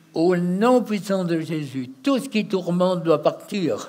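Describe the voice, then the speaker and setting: A man's high-pitched voice, dark and mellow in tone, with lively intonation at a very slow pace. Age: 80s+. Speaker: deliverance minister. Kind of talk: deliverance prayer. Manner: forceful, commanding.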